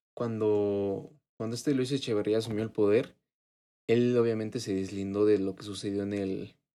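A man with a Mexican accent, fairly low pitch and a dark, mellow tone, at a moderate pace with fairly even intonation. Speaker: podcast co-host. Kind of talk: casual chat.

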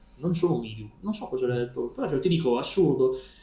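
A man's fairly high voice with audible room echo. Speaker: paranormal experiencer. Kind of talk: casual chat. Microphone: video freezing, unstable connection.

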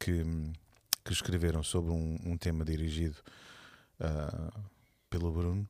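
A man with a European Portuguese accent speaks at a moderate pace in a very deep, low pitch with a dark, mellow tone and monotone, flat intonation. The recording is very clean with a silent background. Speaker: church leader. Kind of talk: casual chat.

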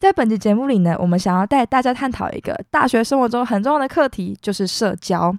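In a very clean recording with a silent background and a dry, close sound with no echo, a woman speaks very fast at a fairly high pitch with lively intonation. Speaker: university student podcast host. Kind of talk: casual chat.

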